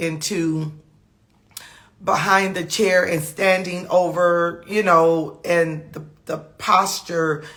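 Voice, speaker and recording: Audible room echo surrounds the voice. Its intonation is fairly even. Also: woman. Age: 50s. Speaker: trichologist. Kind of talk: casual live talk. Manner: halting, many fillers and repetitions.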